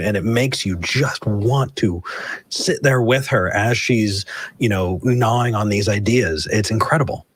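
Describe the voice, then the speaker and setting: A man talks with an American accent in a somewhat breathy voice. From California. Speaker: atheist talk show host. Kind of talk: casual chat.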